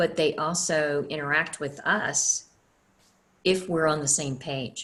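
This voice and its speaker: A woman's very deep, low pitch at a very slow pace, with fairly even intonation. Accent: Southern US. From US South. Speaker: energy healer and teacher. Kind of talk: online class. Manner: casual.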